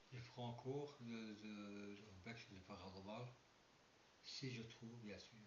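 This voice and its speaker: A somewhat breathy, medium-pitched man's voice at a fairly slow pace, fairly even in intonation, with long, frequent pauses and audible room echo. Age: 60s. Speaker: paranormal and urbex youtuber. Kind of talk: casual vlog monologue. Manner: halting. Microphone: poor sound quality.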